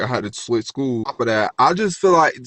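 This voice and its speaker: Fairly quick, animated-toned speech from a man. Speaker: vlogger, former nursing student. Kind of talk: rant storytime monologue. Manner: fast.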